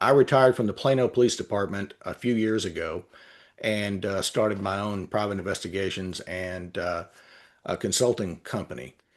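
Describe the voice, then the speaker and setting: With a Texan accent, a man speaks at a fairly low pitch. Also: ordinary pitch variation, moderate pace, quiet background. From Texas. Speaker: retired police officer and litigation consultant. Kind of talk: interview. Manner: halting, many filler words.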